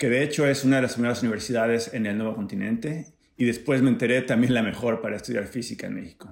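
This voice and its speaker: A man with a plain, everyday voice, medium in pitch with ordinary pitch variation, at a fairly quick pace on a very clean recording with a silent background. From Mexico, Acapulco (Guerrero). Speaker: physics professor. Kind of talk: scripted narration.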